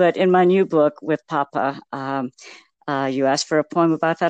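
A woman speaks with a very deep, low pitch and ordinary pitch variation at a moderate pace. The sound is dry and close with no echo, over a quiet background. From Texas. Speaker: poet and author. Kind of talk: interview, poem read aloud.

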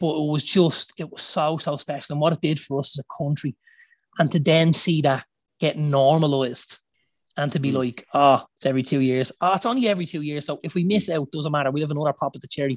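With an Irish accent, a man talks very fast in a fairly high voice with fairly even intonation, the sound dry and close with no echo. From Ireland. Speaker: football podcast co-host. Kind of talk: casual chat.

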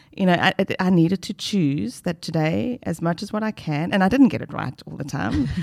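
Recorded dry and close with no echo, a woman with a fairly low pitch and vocal fry talks at a fairly quick pace, with very wide pitch swings and big swings in loudness. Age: 50s. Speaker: retired doctor turned life coach. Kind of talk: casual chat.

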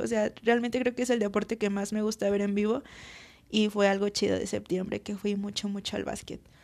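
A woman speaks with a central Mexican accent. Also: very clean recording, silent background. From Mexico, Aguascalientes. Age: 20s. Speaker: podcaster. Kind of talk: casual monologue. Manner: chatty, informal.

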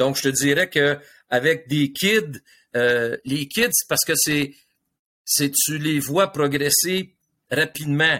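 Very slowly and with long, frequent pauses, a man with a Quebec accent speaks at a fairly high pitch in a bright, sharp tone with ordinary pitch variation. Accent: Québécois French. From Quebec, South Shore of Montreal. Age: 60s. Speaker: hockey coach and coaching mentor. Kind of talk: casual interview.

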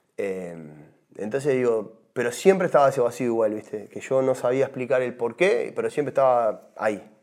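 The voice moves at a moderate pace with lively intonation and hardly any pauses. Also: man, medium pitch for a man. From Uruguay. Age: 40s. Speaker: former tropical music singer. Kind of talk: testimony. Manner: hesitant, repeats words.

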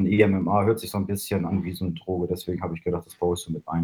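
A man speaks at a very fast pace in a very deep, low voice that is somewhat breathy, with a dark, mellow tone and monotone, flat intonation. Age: 20s. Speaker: hobby musician. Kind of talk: interview.

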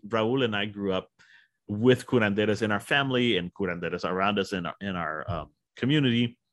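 The speaker has a South Texas accent and moves at a fairly quick pace. Pitch varies in an ordinary way. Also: man. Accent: South Texas Mexican-American English. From South Texas, Rio Grande Valley. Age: 50s. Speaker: author and professor. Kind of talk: interview. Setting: recorded interview, small mic setup.

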